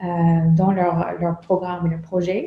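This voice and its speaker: A woman speaks in a medium-pitched, flat monotone. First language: English (speaking French). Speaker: meditation instructor and consultant. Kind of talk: lecture. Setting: conference with audience. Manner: halting, many hesitations.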